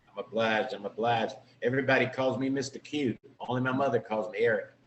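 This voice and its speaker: Over noticeable background noise, a man with an American accent speaks at a very fast pace, medium in pitch, with monotone, flat intonation. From Richmond, Virginia, US. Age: 50s. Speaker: entrepreneur, former actor. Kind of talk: podcast interview.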